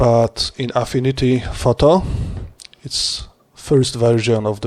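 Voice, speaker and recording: A man with a non-native accent talks at a very slow pace. His pitch is medium, and his intonation fairly even. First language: not English. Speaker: HDR image creator. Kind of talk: screen-recorded tutorial. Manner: halting.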